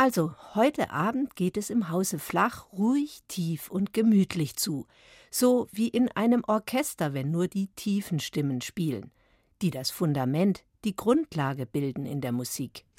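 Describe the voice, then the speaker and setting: In a very clean recording with a silent background, a woman of medium pitch speaks at a fairly slow pace with very wide pitch swings. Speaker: narrator. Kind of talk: scripted narration.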